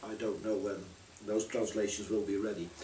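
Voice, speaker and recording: There's noticeable background noise and audible room echo around a man speaking with a Dutch accent. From Netherlands. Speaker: poet and translator. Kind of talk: casual talk about own work. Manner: halting, many fillers.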